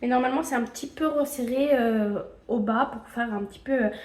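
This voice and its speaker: Noticeable background noise sits behind a woman speaking with a high pitch. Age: 20s. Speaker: knitting vlogger. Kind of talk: casual video podcast monologue. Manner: hesitant, many filler sounds.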